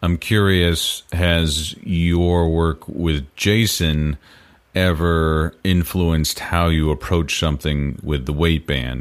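His pitch is very deep and low. The man keeps his intonation fairly even. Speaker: podcast interviewer. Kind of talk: interview questions.

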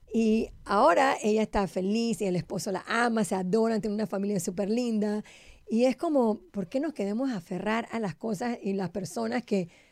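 This female speaker talks at a moderate pace with ordinary pitch variation. The recording is very clean, with a silent background. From Panama. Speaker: Kabbalah teacher, podcast co-host. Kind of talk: casual chat.

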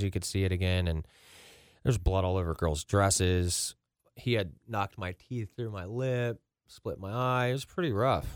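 An unremarkable speaking voice, this man with an American accent talks at a moderate pace in a fairly low pitch with ordinary pitch variation, the sound dry and close with no echo in a very clean recording with a silent background. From Ross, Ohio (Cincinnati area). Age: 30s. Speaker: recovery nonprofit founder. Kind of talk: personal testimony in interview.

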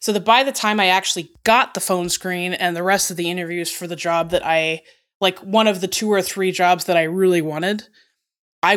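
On a very clean recording with a silent background, a woman speaks at a fairly quick pace. Her pitch is fairly low and her intonation fairly even. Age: 30s. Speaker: software engineering executive. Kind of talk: interview.

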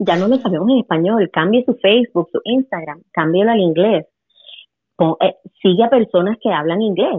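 A woman's plain, everyday voice at a medium pitch, moderate pace and lively intonation. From Puerto Rico. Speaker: English teacher. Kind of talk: casual chat.

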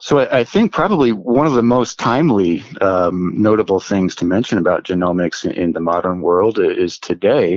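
A man with an unremarkable speaking voice and an American accent speaks at a fairly low pitch and a moderate pace with lively intonation and hardly any pauses, the sound dry and close with no echo and the background quiet. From US Northeast, central New Jersey. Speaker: genomics scientist. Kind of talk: interview. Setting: remote from home office.

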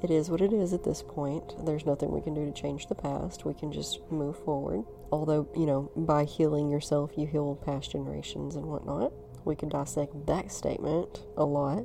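The pace is moderate, and music can be heard in the background. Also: woman. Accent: American. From US South, North Alabama. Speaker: spiritual podcaster. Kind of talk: casual chat.

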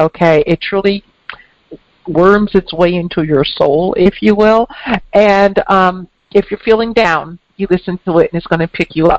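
A woman with an American accent and an unremarkable speaking voice talks at a fairly slow pace and medium pitch, with fairly even intonation and a dry, close sound with no echo. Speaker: podcast host, intuitive and author. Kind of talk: interview intro and conversation.

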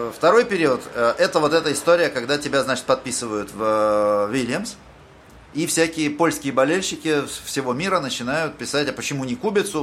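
His pitch fairly high, a man speaks at a moderate pace with very wide pitch swings. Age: 40s. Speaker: podcast host. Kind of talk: interview.

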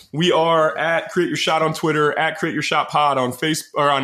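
A man speaks at a fairly quick pace. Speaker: podcast host. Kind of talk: casual chat.

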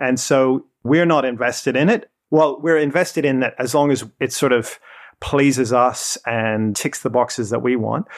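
Delivered at a moderate pace with ordinary pitch variation, this is an unremarkable speaking voice. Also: man, medium pitch for a man. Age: 40s. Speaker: New Testament lecturer. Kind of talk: casual chat. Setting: studio.

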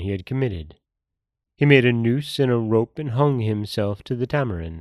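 A plain, everyday voice, a man's medium pitch carrying lively intonation. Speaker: podcast host and storyteller. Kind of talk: folktale narration, read aloud in a solemn storyteller's tone. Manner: plain, steady, unhurried storytelling pace.

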